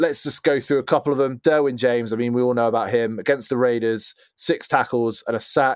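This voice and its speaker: A man with an English accent speaks at a medium pitch with ordinary pitch variation, in a very clean recording with a silent background and a dry, close sound with no echo. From England. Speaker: NFL podcast host. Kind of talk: casual chat.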